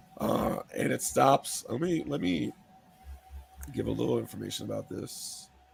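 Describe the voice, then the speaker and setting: A man speaking with long, frequent pauses, music in the background. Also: moderate pace. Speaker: podcast co-host. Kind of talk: casual chat.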